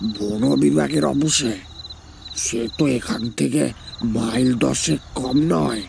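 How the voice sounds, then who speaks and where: A man puts on a raspy character voice at a medium pitch, with very wide pitch swings and a very slow pace. Clear background noise is present. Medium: audio drama. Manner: gentle, courteous.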